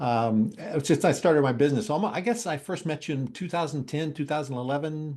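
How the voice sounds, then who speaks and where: A man with an ordinary speaking voice, a fairly high pitch and lively intonation, against a quiet background. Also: fairly quick pace. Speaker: interviewer. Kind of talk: interview introduction.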